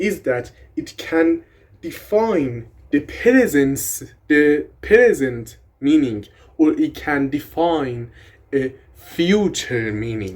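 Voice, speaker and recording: With a Persian accent, a man speaks at a very slow pace in a fairly high pitch, his voice making very wide pitch swings. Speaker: language content creator. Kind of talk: casual educational tutorial. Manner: animated.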